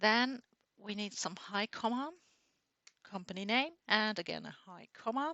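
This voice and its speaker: A woman with a non-native accent speaks at a fairly slow pace in a fairly high voice, her pitch varying in an ordinary way while her loudness swings widely and long pauses come often. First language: not English. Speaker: software tutorial creator. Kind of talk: tutorial.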